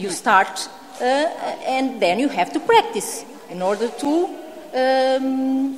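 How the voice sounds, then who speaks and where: A woman with a Portuguese accent, high in pitch with very wide pitch swings, speaking very slowly amid noticeable background noise and audible room echo. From Portugal. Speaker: home education speaker, mother. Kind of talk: conference Q&A answer. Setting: conference hall with audience. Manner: halting.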